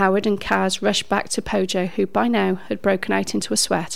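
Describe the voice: Reading aloud, plain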